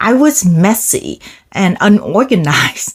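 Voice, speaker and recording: Her voice fairly high-pitched, a woman speaks with lively intonation. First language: not English. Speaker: self-improvement vlogger. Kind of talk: motivational talk to camera.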